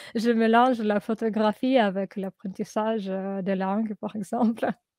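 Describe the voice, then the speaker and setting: Speaking at a fairly slow pace, a woman uses a fairly high pitch and monotone, flat intonation. The sound is dry and close, with no echo. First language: Russian (speaking French). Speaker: language learner. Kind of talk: interview. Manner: halting.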